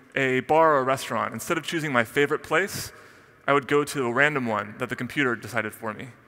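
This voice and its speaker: A man talks at a very fast pace in a bright, sharp tone. The background is quiet. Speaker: conference speaker. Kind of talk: keynote talk. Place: stage. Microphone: headset.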